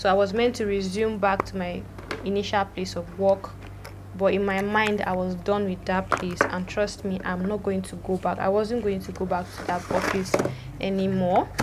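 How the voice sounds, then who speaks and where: Against noticeable background noise, a woman with a Nigerian accent talks at a moderate pace and a medium pitch. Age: 20s. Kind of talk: casual storytime talk to camera. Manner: lively, chatty.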